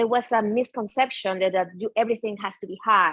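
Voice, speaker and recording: Speaking with a Spanish accent, a woman uses a fairly high pitch and ordinary pitch variation. The sound is dry and close, with no echo. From Venezuela. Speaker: yoga and mindfulness teacher. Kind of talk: interview conversation.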